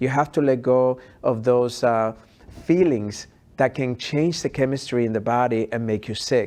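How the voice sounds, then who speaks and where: Dark and mellow in tone, a man's voice sits at a medium pitch. He keeps a moderate pace and fairly even intonation. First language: not English. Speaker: health expert and author. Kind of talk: interview conversation. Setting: podcast.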